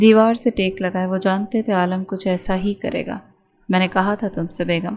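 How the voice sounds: It's a natural reading voice with fairly even intonation.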